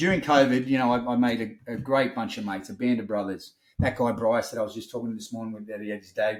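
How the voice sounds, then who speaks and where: With an Australian accent, a man at a medium pitch talks very fast with hardly any pauses and big swings in loudness. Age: 50s. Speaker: wellness business owner. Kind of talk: podcast interview. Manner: animated.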